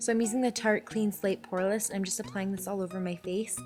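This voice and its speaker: Over background music, a woman speaks very fast at a medium pitch with ordinary pitch variation. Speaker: beauty vlogger. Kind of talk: makeup tutorial. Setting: bedroom at home. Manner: casual, chatty.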